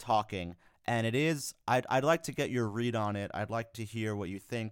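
On a very clean recording with a silent background, a man with an American accent uses an ordinary speaking voice at a medium pitch. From New York. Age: 20s. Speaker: podcast co-host. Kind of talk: casual chat.

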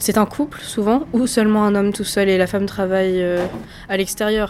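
A woman's monotone, flat delivery at medium pitch and a fairly slow pace, with noticeable background noise. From France, Lower Normandy (near Falaise). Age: 20s. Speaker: political science student. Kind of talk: interview.

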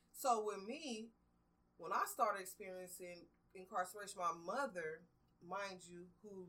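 A moderate pace and ordinary pitch variation amid noticeable background noise. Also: woman. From US West Coast, Watts, Los Angeles. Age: 40s. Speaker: formerly incarcerated advocate. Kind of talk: interview.

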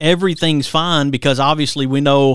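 Here is a man with a plain, everyday voice, using fairly even intonation at a moderate pace. The recording is very clean, the background silent. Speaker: radio host. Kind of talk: radio interview with ad reads and show intros. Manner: warm, polished radio-announcer delivery.

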